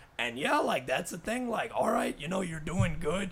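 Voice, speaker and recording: An animated tone with ordinary pitch variation comes through over noticeable background noise. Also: man. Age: 20s. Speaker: podcast co-host. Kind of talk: casual chat.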